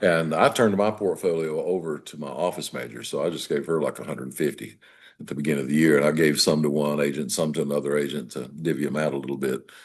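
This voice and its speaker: A man talks at a very fast pace with a very deep, low pitch. His voice has vocal fry and ordinary pitch variation. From US South, western North Carolina. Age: 70s. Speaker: real estate broker. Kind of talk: interview. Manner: halting.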